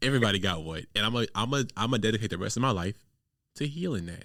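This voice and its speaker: A man speaks at a very fast pace with very wide pitch swings around a medium pitch. His tone is bright and sharp, on a very clean recording with a silent background. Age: 20s. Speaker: podcast host. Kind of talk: casual chat.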